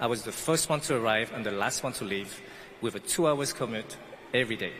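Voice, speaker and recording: A man speaks at a fairly quick pace while noticeable background noise carries on behind him. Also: medium pitch for a man, ordinary pitch variation. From French Guiana. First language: not English. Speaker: pastry chef, commencement speaker. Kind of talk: commencement speech.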